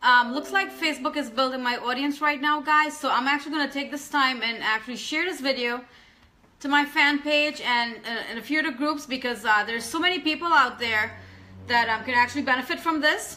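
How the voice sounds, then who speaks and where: A woman with a high pitch speaks in a raised, projected voice at a fairly quick pace, with ordinary pitch variation. Noticeable background noise can be heard. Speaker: online business coach. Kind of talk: live stream chat. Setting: home live video. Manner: fast; energetic.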